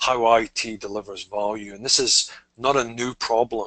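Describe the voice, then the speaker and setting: A man with a Scottish accent, a bright, sharp tone and medium pitch, at a moderate pace. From Scotland. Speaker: technology strategist. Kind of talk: webinar interview. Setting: online webinar.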